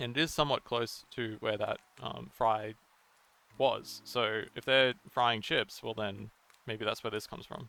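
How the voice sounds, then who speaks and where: A man with an Australian accent, bright and sharp in tone, at a medium pitch, fairly even in intonation and fairly slow in pace. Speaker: video game theory youtuber. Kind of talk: video essay commentary. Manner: hesitant, many fillers and repeats.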